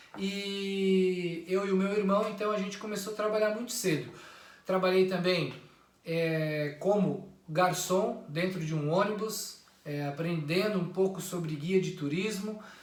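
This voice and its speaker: Amid audible room echo and noticeable background noise, a high-pitched man speaks fairly slowly with fairly even intonation. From Santa Catarina, southern Brazil (interior). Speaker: YouTuber. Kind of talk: personal introduction monologue.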